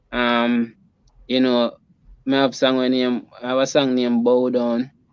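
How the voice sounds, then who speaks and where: In a Jamaican accent, a man speaks at a fairly slow pace and a medium pitch with monotone, flat intonation. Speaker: reggae musician. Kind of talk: interview answer. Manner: casual, halting.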